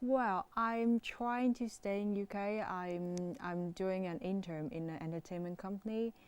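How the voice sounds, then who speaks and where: With a Chinese accent, a woman of medium pitch talks at a fairly slow pace with ordinary pitch variation. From China. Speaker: international student. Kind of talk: interview. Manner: halting.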